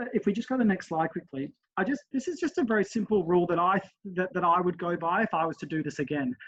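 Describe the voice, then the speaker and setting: Lively in intonation, a man talks in a high voice. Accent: Australian. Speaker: relay committee member. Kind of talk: webinar presentation. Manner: fast.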